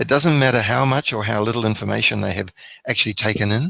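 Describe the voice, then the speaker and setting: A man's fairly low pitch with vocal fry. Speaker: network marketing trainer. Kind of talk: webinar training. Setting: webinar on video call. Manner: enthusiastic.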